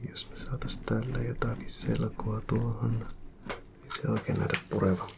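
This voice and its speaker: Whispering at a very slow pace, a man keeps a calm tone. Noticeable background noise can be heard. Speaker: ASMR creator. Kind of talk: ASMR roleplay, maintenance technician. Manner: soft-spoken, calm.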